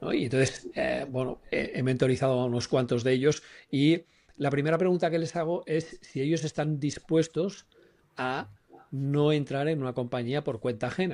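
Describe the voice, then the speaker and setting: A man uses a normal speaking voice at a fairly high pitch. His pace is moderate, his pitch variation is ordinary, and the background is quiet. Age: 60s. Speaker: personal branding consultant. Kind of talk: podcast discussion.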